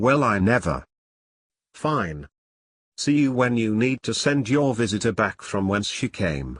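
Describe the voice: On a very clean recording with a silent background, a man does a cartoonish character voice, fairly low and slightly husky, swinging widely at a fairly slow pace.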